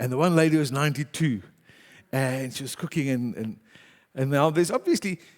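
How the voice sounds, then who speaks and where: This man speaks at a fairly quick pace and a fairly high pitch, with ordinary pitch variation. He leaves long, frequent pauses, and the recording is very clean with a silent background. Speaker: pastor. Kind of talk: sermon. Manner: loud.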